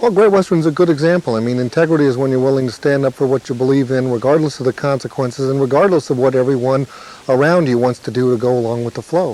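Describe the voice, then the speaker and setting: Speech races at a very fast pace with ordinary pitch variation, over noticeable background noise. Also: man. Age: 40s. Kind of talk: testimony.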